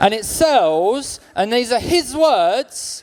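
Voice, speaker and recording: Speaking with a London accent, a man swings his pitch very widely. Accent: London, sounds like a cab driver. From South London. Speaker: stand-up comedian. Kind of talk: stand-up. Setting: stage with audience.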